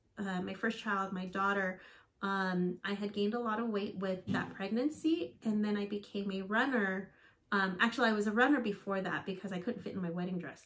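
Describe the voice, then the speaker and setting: A woman at a moderate pace, her intonation fairly even. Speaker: fitness vlogger, teacher. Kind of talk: casual vlog chat. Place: home room.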